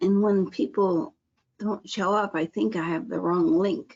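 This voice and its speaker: Vocal fry marks a woman's medium-pitched voice as she speaks at a fairly slow pace. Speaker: health class teacher. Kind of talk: online class pre-session chat.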